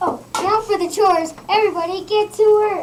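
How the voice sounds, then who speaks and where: A woman performs a put-on character voice, squeaky and extremely high in pitch. She keeps a moderate pace and fairly even intonation. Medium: stage play.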